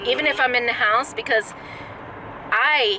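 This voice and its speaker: A woman with a Southern US accent speaks at a high pitch and a fairly slow pace. Her intonation is lively, and background noise is noticeable. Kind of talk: casual vlog conversation.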